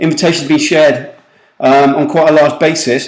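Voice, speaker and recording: A man with a British accent at a fairly quick pace, with audible room echo. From UK. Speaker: recruitment marketing consultant. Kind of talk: webinar presentation. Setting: online webinar call. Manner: fast; animated.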